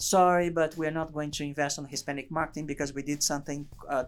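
On a very clean recording with a silent background, a man with a Portuguese accent talks very fast at a fairly high pitch. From Brazil. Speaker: advertising agency CEO and author. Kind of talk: interview conversation. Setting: studio.

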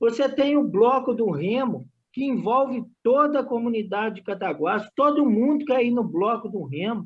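A man with an extremely high pitch, ordinary pitch variation and a moderate pace. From Brazil, Cataguases, Minas Gerais. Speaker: community sports project worker and student. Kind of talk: casual interview.

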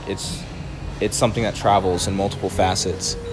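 The speech comes at a fairly quick pace, with noticeable background noise behind it. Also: man. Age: 20s. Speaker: spoken word poet. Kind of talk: casual chat.

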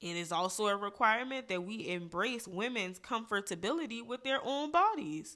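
With an American accent, a woman speaks in a fairly high, bright, sharp, animated voice with lively intonation, a moderate pace and hardly any pauses, on a very clean recording with a silent background. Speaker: podcast host. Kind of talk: casual opinion monologue. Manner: animated, informal, sassy.

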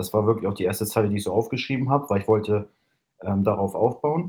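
A man talks at a very fast pace in a fairly low voice with a dark, mellow tone. His pitch varies in an ordinary way. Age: 20s. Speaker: hobby musician. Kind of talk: interview.

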